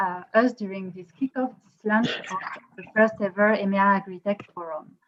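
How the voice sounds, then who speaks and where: A woman speaks at a moderate pace with a French accent. Her pitch is medium and her intonation fairly even. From France. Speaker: co-founder of a tech innovation company, event organizer. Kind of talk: event opening speech. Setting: online video conference. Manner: hesitant, many fillers.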